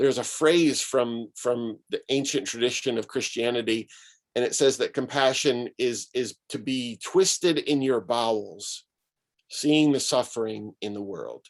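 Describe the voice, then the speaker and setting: A man at medium pitch with an American accent has a plain, everyday voice and ordinary pitch variation. He talks at a fairly slow pace over a quiet background. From Syracuse, New York, US. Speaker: pastor and author. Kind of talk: talk to an online gathering.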